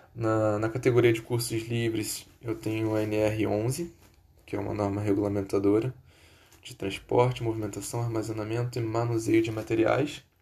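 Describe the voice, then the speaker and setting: In a dark, mellow, somewhat breathy voice, a man of medium pitch speaks at a moderate pace with monotone, flat intonation. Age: 20s. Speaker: job applicant. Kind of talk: job application self-presentation. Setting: recording at home computer. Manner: formal.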